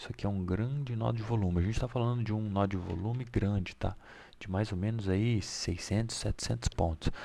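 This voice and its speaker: A soft-spoken man talks in a fairly low pitch. His pace is fairly quick, with ordinary pitch variation. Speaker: day trading market analyst. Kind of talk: market analysis tutorial. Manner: casual.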